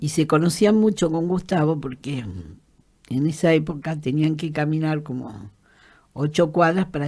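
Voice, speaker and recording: In a very clean recording with a silent background, a speaker with an Argentine accent and a dark, mellow tone talks at a moderate pace with ordinary pitch variation. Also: woman. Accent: Rioplatense Argentine Spanish. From Argentina, Greater Buenos Aires (La Matanza). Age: 70s. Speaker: trade unionist and human rights activist. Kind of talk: interview, personal testimony. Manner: halting, many fillers and repetitions.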